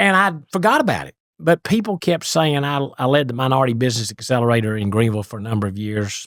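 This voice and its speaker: A man's medium-pitched voice with lively intonation at a very fast pace, in a very clean recording with a silent background. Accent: East Tennessee. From East Tennessee, US South. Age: 60s. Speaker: business author and CEO. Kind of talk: podcast interview storytelling.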